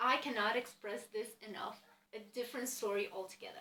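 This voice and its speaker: With a Romanian accent, a woman speaks at a moderate pace in a bright, sharp tone. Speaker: book vlogger. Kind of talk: casual chat.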